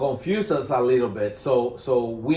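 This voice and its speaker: Audible room echo surrounds a man speaking with a strong Spanish accent. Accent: Spanish accent, self-described as strong. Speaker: management consultant. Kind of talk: business presentation. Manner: halting, many fillers.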